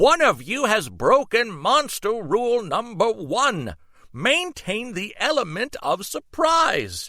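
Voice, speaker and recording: In a very clean recording with a silent background, a man puts on a character voice at a high pitch. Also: fairly slow pace. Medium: read story. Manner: formal, instructive.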